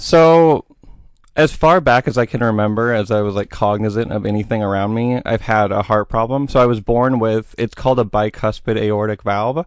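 A man with an American accent in a plain, everyday voice, medium in pitch, with ordinary pitch variation at a moderate pace. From Oregon, US. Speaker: podcast guest. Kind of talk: interview.

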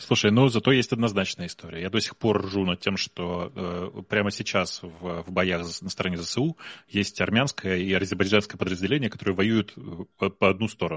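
A man's very deep, low voice at a moderate pace, with ordinary pitch variation and a dry, close sound with no echo. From Russia. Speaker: tech entrepreneur. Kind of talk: casual chat. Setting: live stream.

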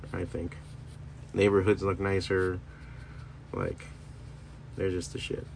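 A man with a very deep, low pitch talks at a fairly slow pace with long, frequent pauses, his relaxed, somewhat breathy voice keeping a fairly even intonation. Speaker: stand-up comedian and podcaster. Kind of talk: casual solo monologue. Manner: meandering, relaxed.

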